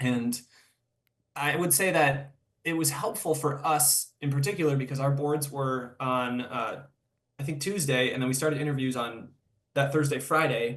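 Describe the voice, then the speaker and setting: This somewhat breathy voice speaks with an American accent and fairly even intonation. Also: man. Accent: slight Wisconsin accent on some words. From Wisconsin, US Midwest. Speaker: podiatric medicine student. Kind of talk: interview conversation. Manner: casual, with fillers and repetitions.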